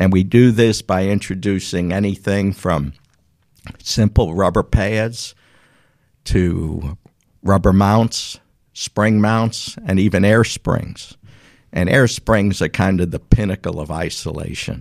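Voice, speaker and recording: In a strong New York accent, the speaker goes at a very slow pace with ordinary pitch variation on a very clean recording with a silent background. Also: man, fairly low pitch for a man. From New York City. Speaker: business owner. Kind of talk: casual interview.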